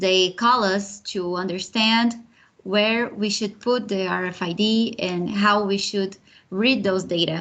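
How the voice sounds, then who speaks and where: In a Brazilian accent, a woman speaks very slowly at a medium pitch with fairly even intonation. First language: Portuguese. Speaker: project manager, program alumna. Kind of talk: online panel interview.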